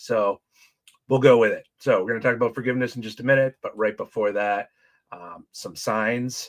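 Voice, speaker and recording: A man speaks in a normal speaking voice at medium pitch, fairly quickly and with fairly even intonation. The recording is very clean with a silent background and a dry, close sound with no echo. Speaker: church small group leader. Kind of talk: casual livestream talk. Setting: livestream.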